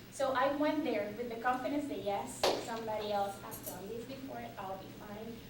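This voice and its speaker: The speaker keeps a moderate pace and ordinary pitch variation, with big swings in loudness, audible room echo and noticeable background noise. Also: woman, fairly high pitch for a woman. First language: not English. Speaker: community college student panelist. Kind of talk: panel talk. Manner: halting, with many repetitions.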